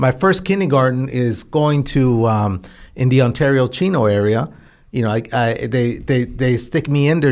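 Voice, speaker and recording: A man speaks with an American accent in a medium pitch. He has a plain, everyday voice with ordinary pitch variation. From central California. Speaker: former astronaut. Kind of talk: interview.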